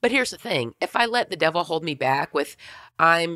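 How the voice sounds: A woman speaks with low pitch and a fairly bright, raspy, husky tone. The recording is very clean with a silent background.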